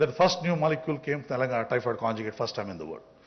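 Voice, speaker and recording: Lively intonation from a man, with noticeable noise behind him. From India. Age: 60s. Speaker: business founder. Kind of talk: off-the-cuff conference speech. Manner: halting.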